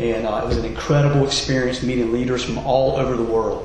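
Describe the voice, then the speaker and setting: Noticeable background noise and audible room echo around a man's medium-pitched voice, fairly quick in pace with fairly even intonation. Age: 40s. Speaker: mayoral candidate. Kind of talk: political debate.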